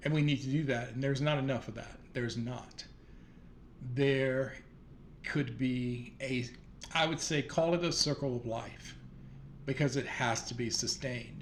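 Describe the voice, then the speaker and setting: A man with a Southern US accent and a medium pitch speaks at a moderate pace, somewhat breathy, with fairly even intonation. He takes long, frequent pauses, and audible room echo surrounds him. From US South. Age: 60s. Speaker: vlogger. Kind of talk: casual monologue. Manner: hesitant, many fillers.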